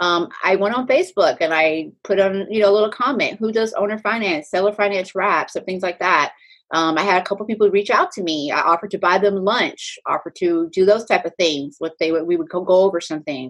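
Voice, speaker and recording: A woman speaks at a fairly quick pace and medium pitch. Hers is a plain, everyday voice. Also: ordinary pitch variation, hardly any pauses. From Texas, Pflugerville. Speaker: real estate agent and nurse. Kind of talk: casual interview.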